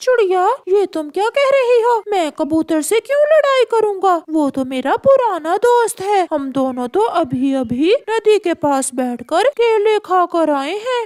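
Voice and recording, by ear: A cartoonish character voice, extremely high in pitch with very wide swings. It moves at a fairly slow pace with hardly any pauses.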